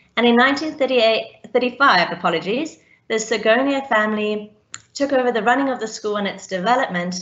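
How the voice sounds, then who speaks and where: Her fairly high voice moves at a fairly quick pace, with ordinary pitch variation, from a woman. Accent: South African. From South Africa, Cape Town. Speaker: teacher. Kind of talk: panel presentation.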